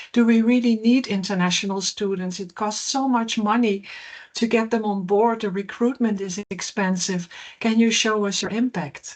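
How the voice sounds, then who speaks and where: Here a woman speaks with a Dutch accent. She keeps a moderate pace and fairly even intonation. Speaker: professor. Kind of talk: keynote lecture. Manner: hesitant, frequent fillers.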